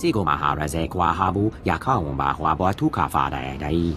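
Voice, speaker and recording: A man puts on a character voice with a very deep, low pitch. He talks at a moderate pace over clear background noise. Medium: video game.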